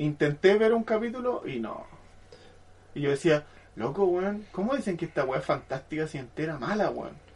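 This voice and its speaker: Over noticeable background noise, a man with a Chilean accent talks at a moderate pace with a high pitch and very wide pitch swings. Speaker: podcast co-host. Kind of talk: casual chat.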